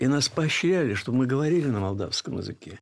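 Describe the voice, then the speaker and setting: A man speaks with very wide swings in pitch on a very clean recording with a silent background. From Bessarabia (Moldova). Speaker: film historian. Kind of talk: interview.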